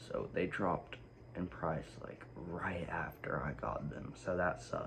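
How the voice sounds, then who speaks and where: Speaking at a fairly slow pace, a man uses a very deep, low pitch with ordinary variation, and audible room echo can be heard. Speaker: sneaker YouTuber. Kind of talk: casual vlog. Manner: quiet; hesitant, many fillers.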